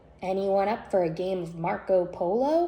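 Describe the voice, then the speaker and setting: A female-sounding put-on character voice speaks at medium pitch and a moderate pace. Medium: read story.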